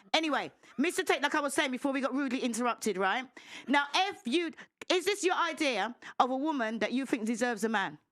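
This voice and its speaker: Loud and animated, a woman speaks at a moderate pace and high pitch in a very clean recording with a silent background. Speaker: panel guest. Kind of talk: heated debate.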